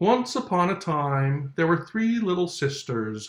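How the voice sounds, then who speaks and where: Putting on a character voice, a man talks at a fairly slow pace in a hoarse, high pitch with very wide pitch swings. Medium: read story. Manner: drowsy.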